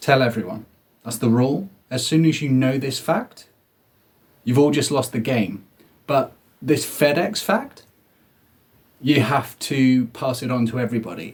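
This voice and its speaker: A man with a medium pitch talks at a moderate pace, somewhat breathy, with ordinary pitch variation and long, frequent pauses. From southeast England. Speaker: comedian. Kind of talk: comedic monologue.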